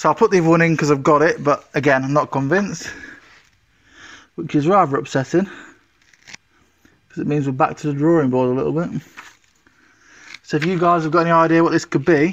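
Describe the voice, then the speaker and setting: This man talks at a very fast pace. His pitch varies in an ordinary way. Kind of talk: casual vlog chat. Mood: mildly disappointed, puzzled. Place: garage. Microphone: phone near.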